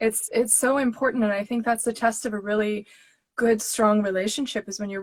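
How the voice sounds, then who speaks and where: Her pitch fairly high, a woman speaks at a fairly quick pace with fairly even intonation and a somewhat breathy sound. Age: 40s. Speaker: tarot channel host interviewing deck creator. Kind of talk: casual interview chat.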